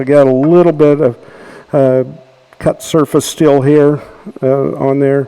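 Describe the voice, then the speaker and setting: A man with an American accent, fairly high in pitch, speaking slowly in a flat monotone. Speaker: woodturning demonstrator. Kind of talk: tutorial demonstration.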